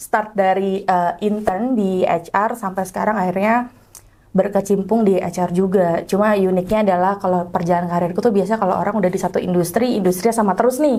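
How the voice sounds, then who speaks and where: The tone is dark and mellow, with very even loudness. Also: woman, medium pitch for a woman. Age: young. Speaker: HR professional. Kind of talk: casual interview.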